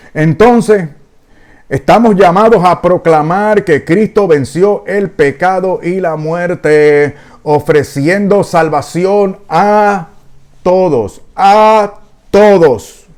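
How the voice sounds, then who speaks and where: A man with a high pitch speaks very slowly, his pitch varying in an ordinary way. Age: 60s. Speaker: preacher. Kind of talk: sermon. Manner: agitated, intense.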